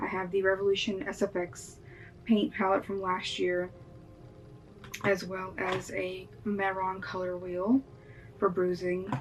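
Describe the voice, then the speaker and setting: A woman at a fairly slow pace with fairly even intonation and long, frequent pauses, music in the background. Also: medium pitch for a woman. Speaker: makeup artist YouTuber. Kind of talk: makeup tutorial. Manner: casual with fillers.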